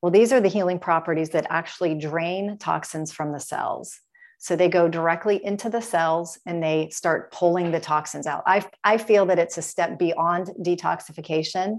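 Against a quiet background, a woman with an American accent speaks in a plain, everyday voice at a moderate pace, with fairly low pitch and fairly even intonation. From US Midwest, Dayton, Ohio. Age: 50s. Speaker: health and wellness business owner. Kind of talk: interview.

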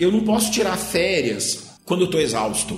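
A man is heard amid noticeable background noise, his voice carrying audible room echo. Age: 30s. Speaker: guest commentator on psychology and society. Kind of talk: casual podcast interview. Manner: halting, with repeated filler words.

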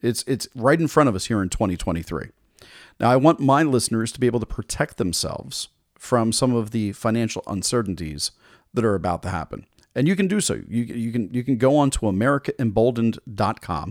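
At a fairly quick pace, a man of medium pitch speaks with lively intonation, recorded very cleanly against a silent background with dry, close sound and no echo. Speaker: podcast host. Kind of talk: sales pitch. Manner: upbeat, salesy, persuasive; enthusiastic, direct-address.

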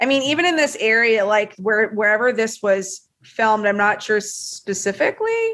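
Fairly high in pitch, a woman speaks at a moderate pace with ordinary pitch variation. Her loudness stays very even, and there are hardly any pauses. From US South, Tennessee. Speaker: film journalist. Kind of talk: casual chat. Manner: animated.

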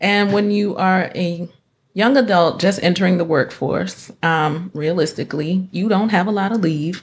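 A woman with an American accent uses a normal speaking voice at a medium pitch, a moderate pace and ordinary pitch variation. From North Carolina. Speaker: licensed clinical social worker. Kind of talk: casual interview chat. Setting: studio.

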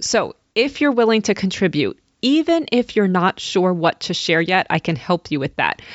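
A woman at medium pitch, an ordinary speaking voice. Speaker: podcast host. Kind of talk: interview.

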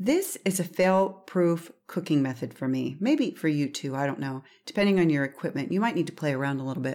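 A woman speaks in a dark, mellow tone at a fairly low pitch, with hardly any pauses. The recording is very clean with a silent background. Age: 50s. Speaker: seafood podcast host. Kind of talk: recipe instructions; solo podcast monologue. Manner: casual, chatty.

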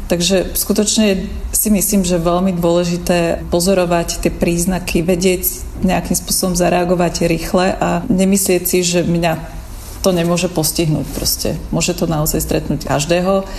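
With audible room echo and noticeable background noise, a woman with a Slovak accent speaks at a moderate pace in a fairly low pitch, her intonation monotone and flat and her loudness very even. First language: Slovak (speaking Czech). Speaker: designer. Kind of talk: personal testimony.

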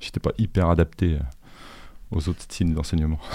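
Over a very clean recording with a silent background, a man speaks at a moderate pace with a very deep, low pitch and a dark, mellow tone. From Paris region, Suresnes. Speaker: artist and art school teacher. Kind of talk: interview. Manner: halting, many hesitations.

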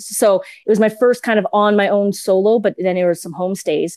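A woman with a Western Canadian accent speaks at a medium pitch in a very clean recording with a silent background. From Edmonton, Alberta, Canada. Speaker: podcast producer. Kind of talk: interview. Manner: halting, many fillers.

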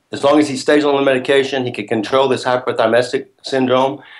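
A man's normal speaking voice at a medium pitch. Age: 60s. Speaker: actor and first-time film director. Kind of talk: interview.

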